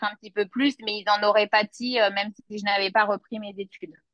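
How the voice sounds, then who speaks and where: Heard in a dry, close sound with no echo, a normal speaking voice keeps a fairly even intonation. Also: woman. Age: 30s. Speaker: notary assistant and law student. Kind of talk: interview testimony.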